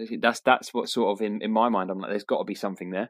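Talking very fast with fairly even intonation, a man with a British accent uses a medium-pitched voice. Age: 30s. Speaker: podcast co-host. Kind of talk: casual chat.

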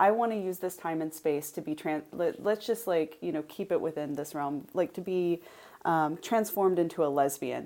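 A woman's fairly low voice, dark and mellow in tone, at a moderate pace. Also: ordinary pitch variation. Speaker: author and editor, professor. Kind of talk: casual interview chat. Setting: remote recording, online software. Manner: sneering, wry tone.

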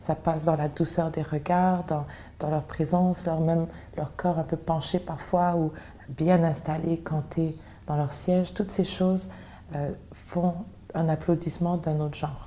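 A woman with a fairly low pitch speaks at a fairly slow pace, somewhat breathy. Her intonation is monotone and flat, broken by long, frequent pauses. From Montreal, Quebec. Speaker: singer. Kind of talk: interview.

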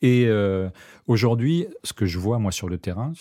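Fairly low in pitch, this man's voice has a dark, mellow tone. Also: very clean recording, silent background. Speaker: cook and cooking teacher. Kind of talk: interview. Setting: studio. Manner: hesitant, many fillers; gentle.

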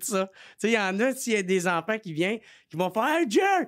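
A man with a Quebec accent speaks at a moderate pace in a very clean recording with a silent background. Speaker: comedian. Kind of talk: casual chat. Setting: studio.

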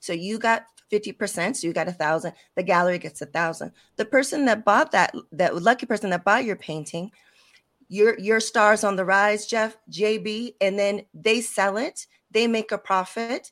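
A woman with a normal speaking voice talks at a moderate pace and a medium pitch, with ordinary pitch variation, on a very clean recording with a silent background. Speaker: web3 expert guest. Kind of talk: casual interview.

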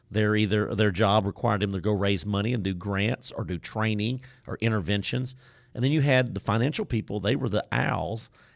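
A man in an East Texas accent, fairly low-pitched with ordinary pitch variation, at a fairly quick pace. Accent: East Texas Southern. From Deep East Texas. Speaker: trainer and facilitator. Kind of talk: casual interview. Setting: studio.

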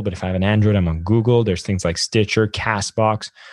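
A man speaks very fast in a fairly low pitch, his intonation monotone and flat, over a quiet background. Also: dry, close sound with no echo. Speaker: podcast host. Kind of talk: podcast interview.

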